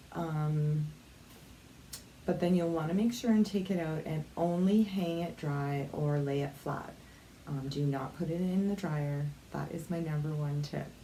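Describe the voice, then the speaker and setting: A soft-spoken woman with a very deep, low pitch talks at a fairly slow pace with ordinary pitch variation. Audible room echo and noticeable background noise come through. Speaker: craft vlogger. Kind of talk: tutorial. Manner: casual, filler-heavy.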